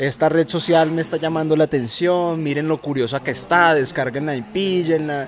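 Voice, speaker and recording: A man with a fairly high pitch talks while noticeable background noise is present. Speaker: podcast host. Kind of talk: casual chat. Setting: outdoors, drinking beer with friends.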